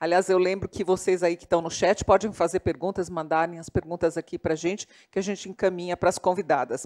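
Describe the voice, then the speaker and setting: Dark and mellow in tone, the voice sounds dry and close, without any echo. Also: woman. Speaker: moderator, journalist. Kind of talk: panel discussion. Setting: live panel with online chat.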